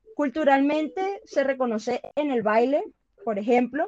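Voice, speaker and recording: Heard in a dry, close sound with no echo, a woman speaks with lively intonation. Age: 20s. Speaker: lawyer. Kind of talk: interview.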